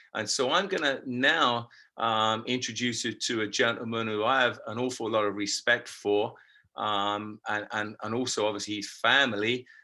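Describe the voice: At a moderate pace, a man with a fairly low pitch talks in a bright, sharp tone with fairly even intonation.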